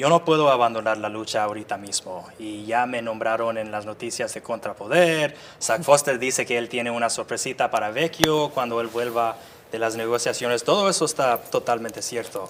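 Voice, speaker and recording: A man with an English accent talks at a moderate pace and medium pitch with ordinary pitch variation. Noticeable background noise is present. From US suburbs. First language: English (speaking Spanish). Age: 30s. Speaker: activist. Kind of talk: interview. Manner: halting.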